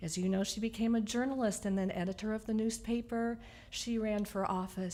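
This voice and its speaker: A woman's plain, everyday voice, fairly high in pitch, with fairly even intonation at a moderate pace. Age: 60s. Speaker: eulogy speaker, niece of the deceased. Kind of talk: eulogy at memorial service. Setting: memorial service.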